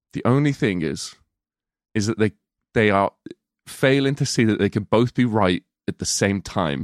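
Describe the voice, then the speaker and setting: On a very clean recording with a silent background and a dry, close sound with no echo, a man with an English Midlands accent speaks at a moderate pace in a fairly low pitch, using lively intonation and long, frequent pauses. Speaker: podcast co-host, film reviewer. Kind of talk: casual chat. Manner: animated.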